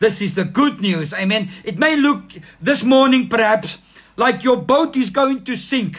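Music plays behind a man speaking at a fairly slow pace. His tone is animated and warm, his pitch high. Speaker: pastor. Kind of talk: sermon. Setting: online church livestream. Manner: animated, fervent, calling for 'amen' responses; warm, exhortative. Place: home room. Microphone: phone near.

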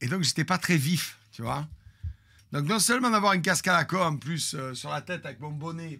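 This man's voice is fairly high, bright and sharp, with an animated tone. He speaks at a fairly slow pace with lively intonation. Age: 50s. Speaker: streamer storyteller. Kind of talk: storytelling to live stream audience. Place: home room. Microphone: studio mic.

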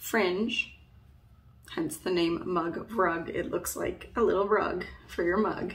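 A woman talks at a very slow pace, her pitch varying in an ordinary way. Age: 30s. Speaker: knitting content creator. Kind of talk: tutorial. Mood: friendly, relaxed. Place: home room. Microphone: phone near.

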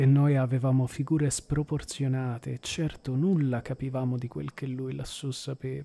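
A man speaks at a medium pitch in a dark, mellow, somewhat breathy tone. His intonation is monotone and flat, with hardly any pauses. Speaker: audiobook narrator. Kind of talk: literary audiobook reading, narrated in the first person. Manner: slow, measured and expressive, with a lyrical, contemplative tone; smooth and evocative, with pauses at the descriptive passages.

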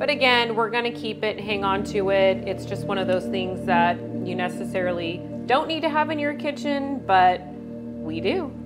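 Moderate-paced speech from a woman over clear background music. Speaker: home cooking channel host. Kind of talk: product review tutorial. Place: kitchen.

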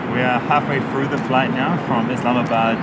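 Amid loud background noise, a man talks at a moderate pace with ordinary pitch variation. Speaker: travel vlogger. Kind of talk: casual vlog chat. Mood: mildly disappointed. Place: plane. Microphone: phone near.

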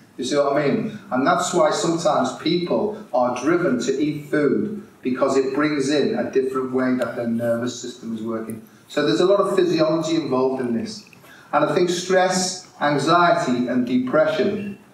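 Room echo is audible as a man speaks. He has a moderate pace and lively intonation. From Merseyside, England; England. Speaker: integrative health consultant and speaker; conference speaker. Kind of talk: conference talk to live audience; lecture. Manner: animated. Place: hall. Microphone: podium.

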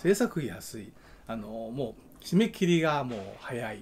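Light background noise sits under a man's somewhat breathy voice at medium pitch. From Kansai, Japan. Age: 60s. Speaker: film director and YouTube channel host. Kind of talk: casual solo talk, update video. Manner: rambling, conversational. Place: home room. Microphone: phone near.

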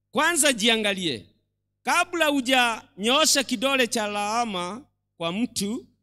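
A man's raised, projected voice, bright and sharp in tone, against a quiet background. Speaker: lay reader preaching. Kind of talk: sermon. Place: church. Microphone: handheld.

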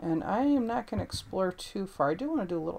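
This woman talks at a fairly quick pace in a fairly low pitch. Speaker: gameplay commentator. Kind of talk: casual gameplay commentary. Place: home room.

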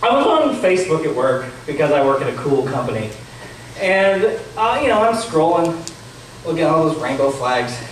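A man talks at a fairly high pitch with big pitch swings. Strong room echo surrounds his voice. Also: moderate pace.

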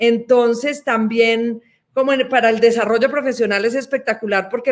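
Against a quiet background, a woman talks at a moderate pace. Her intonation is monotone and flat. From Colombia. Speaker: development bank executive, systems engineer. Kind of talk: interview answers. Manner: frequent hesitations, many fillers. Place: office. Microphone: webcam.

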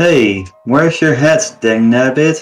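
Over faint music in the background, a man uses a shrill, put-on character voice at a fairly slow pace. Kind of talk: rustic slang. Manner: shrill and excitable.

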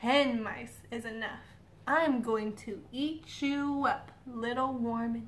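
A woman's put-on, high-pitched character voice at a fairly slow pace, over clear background noise. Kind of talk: children's storytelling. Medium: read story. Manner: greedy, gloating.

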